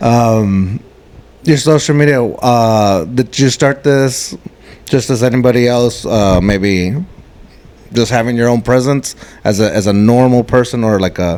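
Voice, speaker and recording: Here is a man with an ordinary speaking voice, medium pitch and ordinary pitch variation. He keeps a fairly slow pace and very even loudness. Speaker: podcast host. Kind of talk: casual podcast interview questions.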